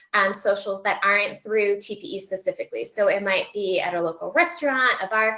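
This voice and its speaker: A woman speaks loudly and fairly quickly with a bright, sharp tone. Her pitch is fairly high, her intonation lively. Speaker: student affairs professional giving job search advice. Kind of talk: webinar presentation. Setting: webinar broadcast.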